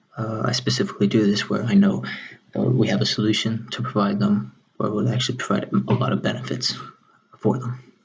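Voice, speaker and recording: Quietly and at a fairly quick pace, a man speaks at a fairly low pitch with very wide pitch swings. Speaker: salesperson. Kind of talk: job interview answer. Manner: quiet, low volume.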